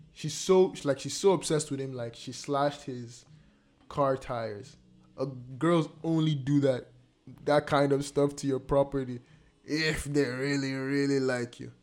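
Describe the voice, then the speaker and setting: With music in the background, a man speaks at a fairly high pitch and a fairly slow pace. His intonation stays fairly even while his loudness swings widely. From Nigeria. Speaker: podcast host. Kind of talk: casual chat.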